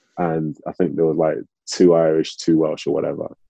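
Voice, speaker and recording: A man talks rather briskly, the sound dry and close with no reverb at all. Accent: Manchester. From Manchester, England (born in Nigeria). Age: 30s. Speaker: ex-professional footballer. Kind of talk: interview.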